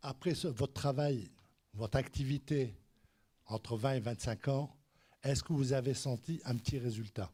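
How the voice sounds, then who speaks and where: The voice is somewhat breathy with a dark, mellow tone, big swings in loudness, and long, frequent pauses. The recording is very clean, with a silent background. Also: man. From France. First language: French. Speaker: audience member asking questions. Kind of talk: audience question. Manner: halting.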